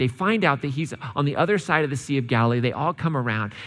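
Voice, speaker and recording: A man with a medium pitch, lively intonation and a normal speaking voice. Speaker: church preacher. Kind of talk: sermon, casual and conversational. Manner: relaxed, humorous.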